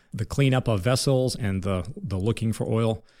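In a very clean recording with a silent background, a man with a normal speaking voice and an American accent talks at a fairly low pitch with fairly even intonation. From Northwest Ohio, US Midwest. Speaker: business owner. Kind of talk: interview.

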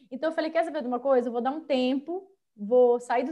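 Using ordinary pitch variation, a woman talks at a high pitch. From Brazil, São José dos Campos, São Paulo state; mineiro and carioca parents. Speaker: podcast guest, Instagram creator. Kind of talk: casual chat.

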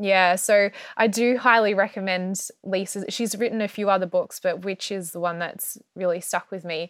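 In an Australian accent, the speaker goes at a fairly slow pace with fairly even intonation on a very clean recording with a silent background. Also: woman. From Australia (Melbourne). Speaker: herbalist and astrologer. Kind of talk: interview.

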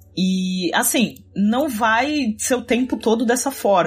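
Against noticeable background noise, a woman talks with lively intonation. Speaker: podcast co-host. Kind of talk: casual chat.

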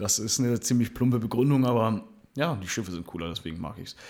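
Against a very clean, silent background, a man with a plain, everyday voice speaks at a medium pitch with lively intonation. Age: 20s. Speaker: podcast co-host, landscape gardener. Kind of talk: casual chat. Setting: same room.

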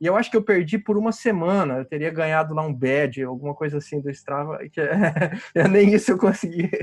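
A man with a high voice. He talks with hardly any pauses. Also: ordinary pitch variation, fairly quick pace. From Brazil, interior of Paraná. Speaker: amateur cyclist. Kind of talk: casual chat. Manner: halting, many repetitions.

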